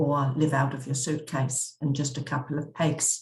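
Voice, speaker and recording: Somewhat breathy, a woman with an English accent speaks at a fairly slow pace in a monotone, flat intonation. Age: 60s. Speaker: travel vlogger. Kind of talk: narrated slideshow travel talk. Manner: halting, with frequent self-corrections.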